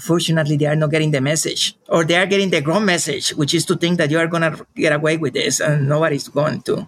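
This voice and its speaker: A man with a Spanish accent talks at a very fast pace in a fairly high pitch with hardly any pauses. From Colombia, rural jungle region. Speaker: professor and researcher. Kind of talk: interview. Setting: remote call from family farm in Colombia.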